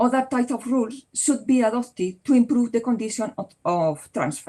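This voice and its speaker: A woman with a Spanish accent talks at a fairly quick pace. Her voice is high-pitched with a dark, mellow tone and ordinary pitch variation. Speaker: law professor. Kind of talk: Q&A discussion; conference presentation. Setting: conference. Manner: halting.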